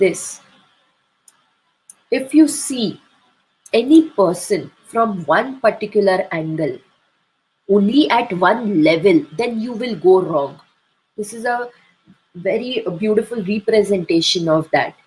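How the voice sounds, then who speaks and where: A woman speaks very slowly with long, frequent pauses, her fairly high, somewhat breathy voice carrying lively intonation. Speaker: homeopathy doctor and teacher. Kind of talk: webinar lecture. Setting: online webinar. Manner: slow, deliberate.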